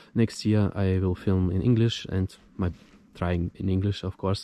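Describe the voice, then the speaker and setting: The speaker has a non-native accent, a dark, mellow tone and fairly even intonation. The sound is dry and close with no echo, against a quiet background. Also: man. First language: not English. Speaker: motorcycle vlogger. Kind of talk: casual vlog monologue. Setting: outdoors in the woods. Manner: halting.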